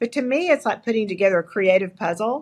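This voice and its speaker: A woman with an East Texas accent speaks at a fairly quick pace. Her intonation is lively against a quiet background. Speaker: entrepreneur and leadership coach. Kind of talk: interview.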